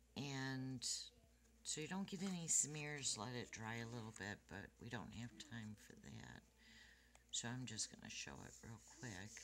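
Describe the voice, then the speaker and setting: Speaking at a fairly slow pace with long, frequent pauses, a woman uses lively intonation in a very deep, low voice marked by vocal fry. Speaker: card-making crafter. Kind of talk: tutorial. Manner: casual. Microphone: quiet recording, hard to hear.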